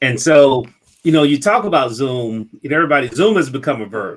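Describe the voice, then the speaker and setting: A man with a Mississippi accent, talking at a fairly quick pace. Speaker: business consultant and show host. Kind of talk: casual interview chat.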